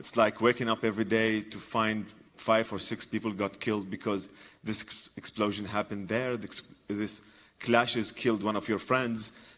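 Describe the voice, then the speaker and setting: A man speaks with an Iraqi accent. His intonation is monotone and flat. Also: fairly low pitch for a man, moderate pace. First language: Arabic. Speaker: comedian and journalist. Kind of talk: conference talk. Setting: stage with audience. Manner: halting.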